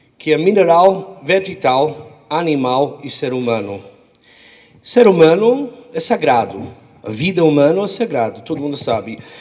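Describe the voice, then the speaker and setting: Speaking slowly-ish with an American accent, a man uses a fairly high pitch and very wide pitch swings at a fairly slow pace. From United States. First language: English (speaking Portuguese). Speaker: rabbi. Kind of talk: short speech to audience.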